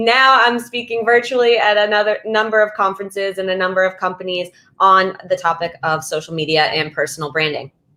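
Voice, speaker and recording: A woman with an American accent at a medium pitch, ordinary pitch variation, a fairly quick pace and hardly any pauses. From US East Coast. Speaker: social media speaker and trainer. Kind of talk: webinar presentation. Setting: virtual session. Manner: fast; loud.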